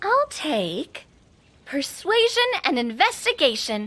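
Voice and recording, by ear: A woman performs a put-on character voice, high-pitched with a bright, sharp tone. She goes at a slow pace with big pitch swings.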